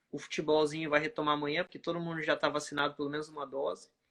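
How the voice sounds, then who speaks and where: A man with a strong Brazilian accent talks at a very fast pace in a flat monotone with a fairly high pitch. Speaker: oncology physician. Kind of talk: casual chat.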